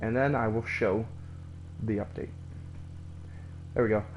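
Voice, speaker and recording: With ordinary pitch variation, a man speaks at a fairly low pitch. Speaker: gaming streamer. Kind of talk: live gameplay commentary.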